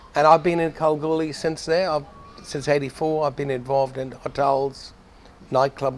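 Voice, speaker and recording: Noticeable background noise sits behind a man's voice. His pitch is fairly high, and his intonation is fairly even. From Ireland. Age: 60s. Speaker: chartered accountant and businessman. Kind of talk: interview. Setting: club venue.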